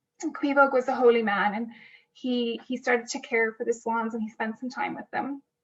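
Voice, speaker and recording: In an Irish accent, a woman speaks at a high pitch with monotone, flat intonation. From Ireland. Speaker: storyteller. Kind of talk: storytelling for children. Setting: home kitchen.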